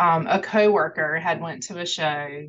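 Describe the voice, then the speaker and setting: A woman talks with a North Carolina accent. Her pitch varies in an ordinary way. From North Carolina, Greenville. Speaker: fundraiser organizer. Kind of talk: interview.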